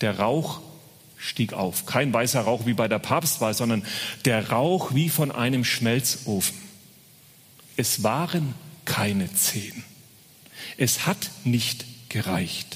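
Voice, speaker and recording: A man at medium pitch, somewhat breathy, with lively intonation, very even loudness, a very slow pace, long and frequent pauses, and audible room echo. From Franconia, Bavaria (Uffenheim). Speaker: guest preacher. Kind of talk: sermon.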